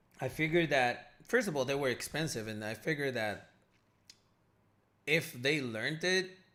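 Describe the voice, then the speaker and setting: This man speaks with a non-native accent. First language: not English. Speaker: day trading educator, livestream host. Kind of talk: live stream Q&A. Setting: live stream. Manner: casual, filler-heavy.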